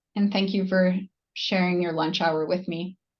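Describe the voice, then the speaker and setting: A woman's somewhat breathy voice sits at a medium pitch. She speaks in a monotone, flat intonation. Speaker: nurse practitioner presenter. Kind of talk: webinar Q&A.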